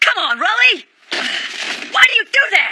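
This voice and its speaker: The voice is cartoonish, a put-on character with an extremely high pitch. It moves at a moderate pace. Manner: impulsive, shouting.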